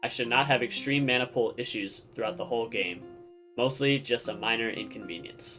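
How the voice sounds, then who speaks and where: Over music in the background, a man speaks at a fairly quick pace with a medium pitch and ordinary pitch variation. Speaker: video game player and streamer. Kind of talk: game strategy tutorial.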